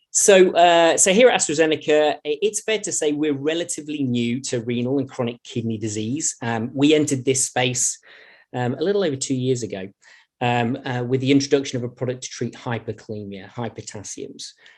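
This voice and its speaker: Against a quiet background, a man with a British accent speaks fairly quickly at a medium pitch and with lively intonation. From Britain. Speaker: pharmaceutical innovation director. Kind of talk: conference presentation. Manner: halting, with frequent fillers and repetitions.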